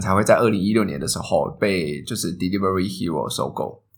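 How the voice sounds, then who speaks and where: Room echo is audible around this man. His pitch variation is ordinary. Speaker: food delivery company manager. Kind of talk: interview. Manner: clear articulation.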